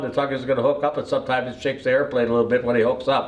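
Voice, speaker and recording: A man with an American accent and a medium pitch. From US Midwest, Wisconsin. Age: 80s+. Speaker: retired airline pilot. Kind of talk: life story telling. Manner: halting, many fillers.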